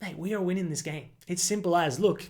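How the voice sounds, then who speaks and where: Someone speaks with an Australian accent. They talk at a fairly quick pace. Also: man. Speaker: football video creator. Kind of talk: casual monologue. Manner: animated.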